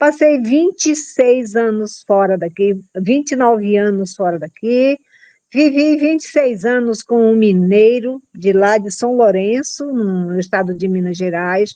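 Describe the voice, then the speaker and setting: Fairly high pitch from a woman with a dark, mellow tone and a fairly slow pace. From Brazil, Pará, Arapiuns river region near Santarém. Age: 70s. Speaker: community leader. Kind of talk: testimony.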